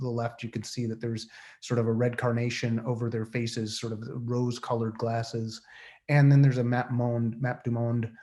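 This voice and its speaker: This man has an American accent and a medium pitch. His intonation stays flat and monotone. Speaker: artist. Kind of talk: artist presentation. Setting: video call. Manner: fast.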